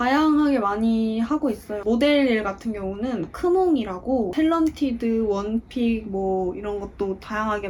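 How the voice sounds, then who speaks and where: A woman talks with lively intonation at a fairly high pitch. Noticeable background noise is present. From Daegu, South Korea. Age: 20s. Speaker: aspiring actor. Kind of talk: interview answer.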